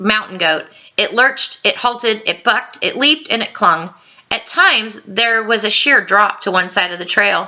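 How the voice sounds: The voice reads in a natural way. Its pitch shows ordinary variation.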